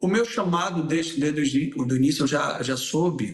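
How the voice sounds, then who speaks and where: Here is a man with a Bahian accent and a fairly high pitch. His intonation is lively. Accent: Salvador (Bahian). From Salvador, Bahia, Brazil. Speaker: singer, writer and former pastor. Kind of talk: casual interview chat.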